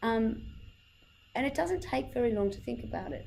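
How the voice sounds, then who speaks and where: A woman talks at a moderate pace, with audible room echo and music in the background. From Ireland. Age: 30s. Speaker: communication trainer. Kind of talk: workshop talk. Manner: animated.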